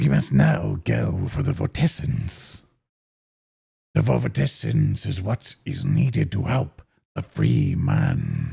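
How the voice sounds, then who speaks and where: In a put-on character voice, the speaker sounds raspy and talks at a fairly slow pace. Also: man, very deep, low pitch for a man. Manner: solemn, reverent.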